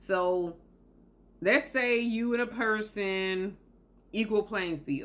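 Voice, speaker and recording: In a Southern US accent, the speaker talks very slowly with long, frequent pauses and ordinary pitch variation. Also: woman, medium pitch for a woman. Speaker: motivational video host. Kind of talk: motivational talk to camera.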